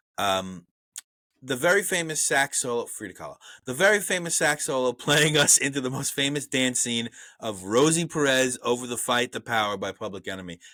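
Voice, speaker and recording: In a very clean recording with a silent background, a man with a strong Brooklyn accent talks at a fairly quick pace in a bright, sharp tone with lively intonation. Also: medium pitch for a man. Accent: thick Brooklyn. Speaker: movie review podcast host. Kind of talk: reading out film trivia; casual chat.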